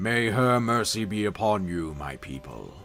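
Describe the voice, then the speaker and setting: Over faint background music, a man uses a put-on character voice at a fairly low pitch and a moderate pace. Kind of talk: solemn, ceremonial.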